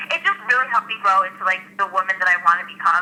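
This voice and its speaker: At a fairly quick pace, a woman talks at medium pitch in an American accent over noticeable background noise. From US. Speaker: host and aspiring actress. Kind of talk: interview. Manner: loud, outgoing; talkative, fast.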